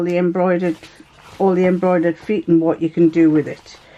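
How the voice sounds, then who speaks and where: Against noticeable background noise, a woman speaks at a medium pitch with an English accent. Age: 70s. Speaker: sewing vlogger. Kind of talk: casual chat. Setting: home sewing room.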